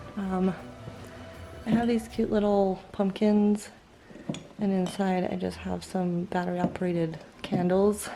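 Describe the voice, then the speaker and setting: With music in the background, the speaker delivers monotone, flat intonation at a fairly slow pace, with long, frequent pauses. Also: woman, medium pitch for a woman. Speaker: home decor vlogger. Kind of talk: house tour vlog. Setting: at home, handheld camera. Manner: soft-spoken; casual with many fillers.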